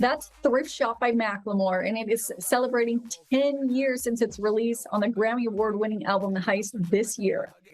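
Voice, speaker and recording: A woman talks at a moderate pace with a slight Canadian accent. She leaves hardly any pauses. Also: fairly high pitch for a woman, fairly even intonation. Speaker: entertainment reporter. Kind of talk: news report.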